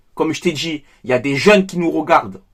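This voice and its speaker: Speaking with a Marseille accent, a man sounds animated, with lively intonation. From France, Marseille. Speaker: football YouTuber. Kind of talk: opinion vlog.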